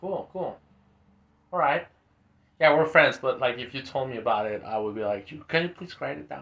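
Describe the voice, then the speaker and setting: Lively in intonation, a man speaks at a medium pitch with a bright, sharp tone and vocal fry. His pace is moderate, his loudness swings widely, and long pauses come often. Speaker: podcast host. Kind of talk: casual chat.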